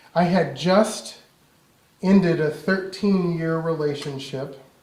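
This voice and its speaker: Amid noticeable background noise and audible room echo, a man speaks with a fairly high pitch and ordinary pitch variation. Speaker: minister. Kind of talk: sermon.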